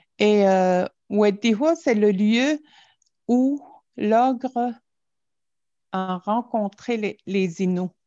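A woman with fairly high pitch and a dark, mellow tone speaks at a very slow pace, using ordinary pitch variation and long, frequent pauses. The background is quiet, and the sound is dry and close with no echo. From Natashquan, Innu community, Quebec. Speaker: storyteller. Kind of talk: storytelling, elder oral tale. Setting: video call. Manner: slow, calm, halting with pauses and repetitions.

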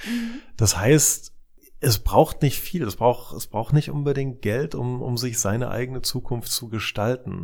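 Recorded very cleanly against a silent background, a man speaks at a medium pitch. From East Germany. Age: 40s. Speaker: CEO of a futures research institute. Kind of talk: interview. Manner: halting with frequent repetitions.

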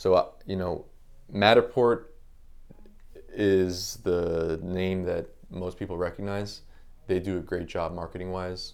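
A man with an American accent speaks in a very deep, low pitch and a monotone, flat intonation. His pace is fairly slow, with long, frequent pauses. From South Florida, Palm Beach Gardens. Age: 30s. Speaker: real estate photographer and business owner. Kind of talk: casual interview chat.

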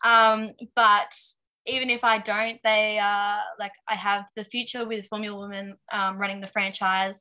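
A woman speaks in an Australian accent at a fairly slow pace with a medium pitch. Her intonation is monotone and flat, while her loudness swings widely. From Tasmania, Australia. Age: 20s. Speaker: aspiring race car driver. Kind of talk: casual interview chat. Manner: hesitant, many fillers.

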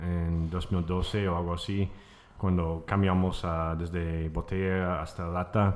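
A man with a very deep, low pitch and an American accent, monotone and flat, at a very slow pace. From United States. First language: English (speaking Spanish). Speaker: brewer. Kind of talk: interview. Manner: halting.

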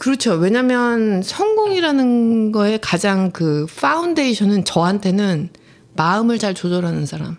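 A woman talks in a normal speaking voice at medium pitch. Her pace is fairly slow and her intonation lively. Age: 40s. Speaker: podcast co-host. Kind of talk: casual chat.

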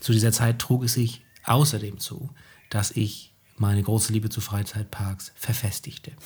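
His voice has a somewhat breathy quality. A man is speaking, and his intonation is fairly even. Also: medium pitch for a man, moderate pace. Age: 30s. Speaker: teacher and podcast co-host. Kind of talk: casual chat.

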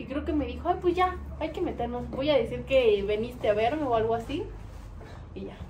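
Amid audible room echo, a woman speaks at a fairly quick pace with big swings in loudness. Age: 20s. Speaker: podcast guest. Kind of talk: casual chat.

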